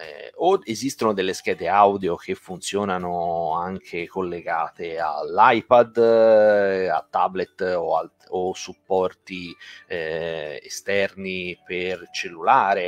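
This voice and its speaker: A man at a very slow pace, big swings in loudness, and a dry sound with no echo. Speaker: guitar teacher. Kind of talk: live online lesson. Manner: hesitant, many fillers. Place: home room. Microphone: studio mic.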